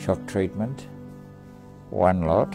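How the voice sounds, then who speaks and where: A man's very deep, low voice with clear music in the background. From Tasmania, Australia. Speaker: war veteran. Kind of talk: interview answer. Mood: somber, reflective. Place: home room.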